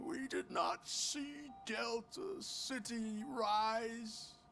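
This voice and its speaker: Background noise is clearly audible. Over it, a man puts on a character voice. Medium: video game. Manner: frail, wandering.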